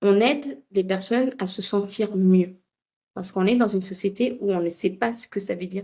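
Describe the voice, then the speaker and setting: A woman's medium-pitched voice with a Tamil accent, moderate pace and fairly even intonation. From India. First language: Tamil (speaking French). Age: 40s. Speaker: project management expert and coach. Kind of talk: casual chat.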